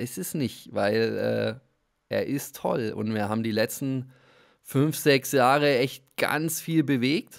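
This man talks at a very slow pace in a medium pitch, with ordinary pitch variation. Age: 40s. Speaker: football club media staff. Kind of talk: casual chat. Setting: remote call.

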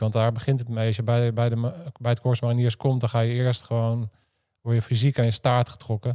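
Over a quiet background, a man with a dark, mellow tone talks at a fairly quick pace in a monotone, flat intonation. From Netherlands. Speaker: former special forces soldier and podcaster; podcaster. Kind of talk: interview conversation. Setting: studio. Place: office. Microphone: studio mic.

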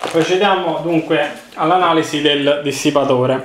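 Against a quiet background with audible room echo, a man talks at a moderate pace with ordinary pitch variation. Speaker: hardware reviewer. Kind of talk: product unboxing commentary. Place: home room. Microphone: phone near.

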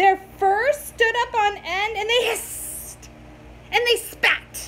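A woman's extremely high, fairly bright voice at a slow pace, with ordinary pitch variation

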